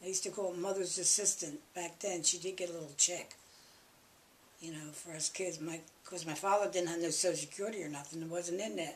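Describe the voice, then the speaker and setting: With a Philadelphia accent, a woman of fairly low pitch talks at a fairly quick pace, her intonation fairly even but her loudness swinging widely. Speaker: interviewee, family elder. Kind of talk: oral history interview. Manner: conversational, halting.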